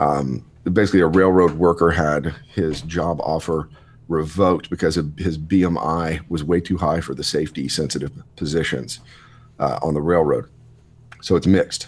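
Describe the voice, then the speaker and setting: A man's very deep, low voice with vocal fry, fairly even intonation and a moderate pace. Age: 30s. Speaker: podcast guest, lifter. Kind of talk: casual chat.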